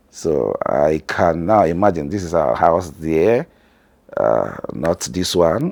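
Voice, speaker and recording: At a very slow pace, a man talks with a Nigerian accent. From northern Nigeria. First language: Hausa. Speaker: family vlogger. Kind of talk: vlog narration.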